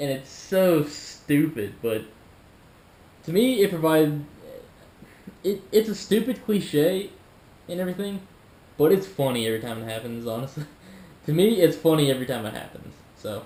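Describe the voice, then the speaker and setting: This man speaks at a moderate pace in a fairly high, dark and mellow voice, with very wide pitch swings, big swings in loudness and long, frequent pauses. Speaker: YouTuber reacting to videos. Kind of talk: casual reaction commentary. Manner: halting, stumbling over words.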